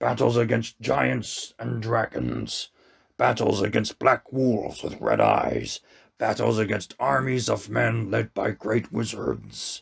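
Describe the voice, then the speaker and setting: A raspy, fairly low-pitched put-on character voice from a man at a fairly slow pace. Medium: read story. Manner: solemn, measured, commanding.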